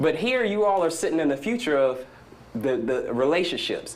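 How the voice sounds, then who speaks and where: A man with an American accent speaks in an animated tone with very wide pitch swings. Audible room echo can be heard. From US South. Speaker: startup entrepreneur speaker. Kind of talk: conference talk. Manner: fast.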